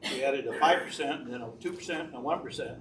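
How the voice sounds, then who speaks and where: A man's speech carries ordinary pitch variation, with room echo clearly audible. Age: 80s+. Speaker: public commenter at township meeting. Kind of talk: public comment. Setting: township board meeting.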